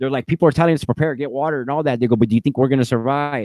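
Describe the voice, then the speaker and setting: With an animated tone, a man talks at medium pitch. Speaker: YouTube host of conspiracy livestream. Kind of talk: live video chat, showing slides. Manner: fast.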